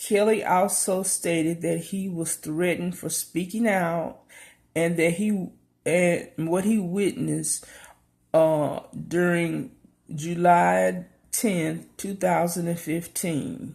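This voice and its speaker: The speech moves at a very slow pace with fairly even intonation. The recording is very clean, with a silent background. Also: woman, fairly low pitch for a woman. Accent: Southern US. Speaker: YouTube commentator. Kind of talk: casual news commentary. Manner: hesitant, many fillers.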